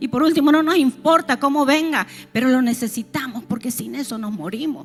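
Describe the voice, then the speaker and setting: A woman speaks at a moderate pace in a high pitch with lively intonation, against noticeable background noise. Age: 60s. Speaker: pastor. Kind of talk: sermon.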